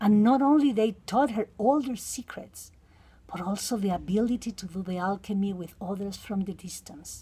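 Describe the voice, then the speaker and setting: A woman with a Mexican accent speaks at a moderate pace in a medium pitch with ordinary pitch variation, her somewhat breathy voice dark and mellow in tone, and her loudness swinging widely. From Mexico. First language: Spanish. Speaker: counseling psychotherapist. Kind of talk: reading aloud.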